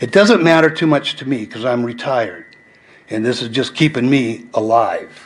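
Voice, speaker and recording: With noticeable background noise behind him, a man speaks in a medium pitch with lively intonation. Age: 70s. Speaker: school bus driver speaking at public comment. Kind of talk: public comment at a school board meeting. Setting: school board meeting.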